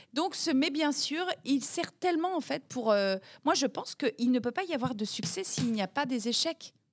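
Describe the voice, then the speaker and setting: A woman speaks at a high pitch in an animated tone with lively intonation. The recording is very clean with a silent background, and the sound is dry and close with no echo. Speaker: head of national Eurovision delegation and TV executive. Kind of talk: interview.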